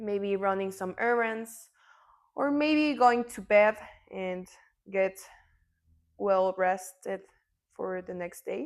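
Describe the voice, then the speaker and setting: Calm in tone, a woman with a Mexican accent speaks at a very slow pace and medium pitch, with ordinary pitch variation, big swings in loudness and long, frequent pauses. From Mexico. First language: Spanish. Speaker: yoga teacher. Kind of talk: yoga class instruction. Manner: slow, calm guiding.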